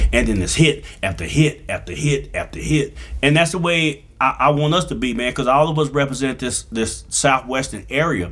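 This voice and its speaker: Using a fairly high pitch with vocal fry, a man speaks at a moderate pace in an animated tone with ordinary pitch variation. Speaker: DJ and comedian. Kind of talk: casual interview chat. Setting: studio. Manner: loud.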